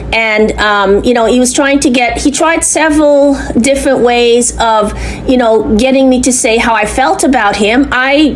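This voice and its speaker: A woman speaks at a high pitch with ordinary pitch variation, a moderate pace and very even loudness, over noticeable background noise with audible room echo. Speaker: complainant. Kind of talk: recorded phone complaint to police. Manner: halting.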